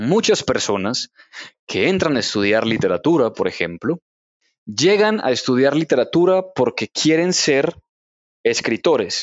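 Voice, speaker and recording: A man speaks at a fairly slow pace in a fairly high pitch, with very wide pitch swings. His loudness stays very even throughout. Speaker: literature teacher and novelist. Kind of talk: casual interview. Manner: halting, frequent word repetition.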